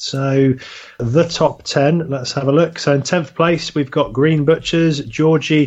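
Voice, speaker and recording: A man with a British accent speaks fairly slowly and fairly high in pitch, keeping a monotone, flat intonation. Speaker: podcast host. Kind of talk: casual chat. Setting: studio.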